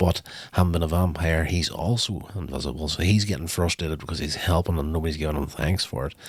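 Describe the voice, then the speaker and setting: On a very clean recording with a silent background, a man speaks very fast with a very deep, low pitch, vocal fry and fairly even intonation. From Northern Ireland. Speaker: podcast host. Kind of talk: TV episode review. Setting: podcast. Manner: casual, conversational with fillers.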